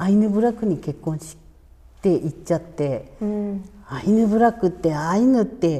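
Her voice is somewhat breathy and dark, mellow in tone, at a medium pitch for a woman. The woman speaks at a fairly slow pace with big swings in loudness. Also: ordinary pitch variation. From Hokkaido (Urakawa, Hidaka). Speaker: Ainu cultural practitioner. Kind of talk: interview. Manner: casual, relaxed with laughter.

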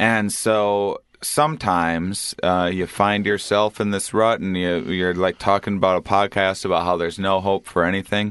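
In an American accent, a man with an ordinary speaking voice talks at a moderate pace with fairly even intonation over a quiet background. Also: fairly low pitch for a man, hardly any pauses. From US Midwest, small-town Wisconsin. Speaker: comedian and psychedelics advocate. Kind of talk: casual chat.

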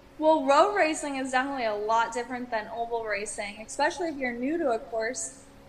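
Over noticeable background noise, a woman with an American accent talks at a very fast pace with hardly any pauses, her pitch high. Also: ordinary pitch variation. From Wisconsin. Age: 20s. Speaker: race car driver. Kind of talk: interview.

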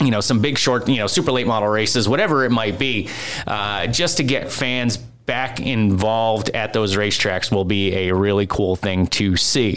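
Noticeable background noise sits under a man speaking at a moderate pace and fairly low pitch, with very even loudness and ordinary pitch variation. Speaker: podcast host and producer. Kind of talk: casual chat. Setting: studio.

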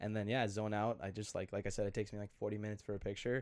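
On a very clean recording with a silent background, a man with an American accent speaks in a fairly low pitch with monotone, flat intonation. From Minnesota, Glencoe. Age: 20s. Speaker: portrait photographer. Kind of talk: casual chat.

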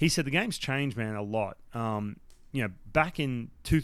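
A man talks with an Australian accent and ordinary pitch variation. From Australia, Newcastle NSW. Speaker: former baseball pitcher and broadcaster. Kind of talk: casual interview chat. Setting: remote call. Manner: animated.

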